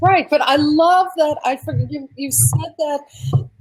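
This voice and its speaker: A woman with a Long Island accent at a very slow pace. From Long Island, New York. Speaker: kitchen designer. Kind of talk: casual chat.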